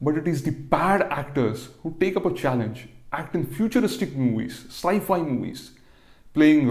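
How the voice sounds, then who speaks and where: A man's fairly high pitch with vocal fry, lively intonation and a moderate pace. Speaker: comedian. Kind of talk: comedic monologue to camera.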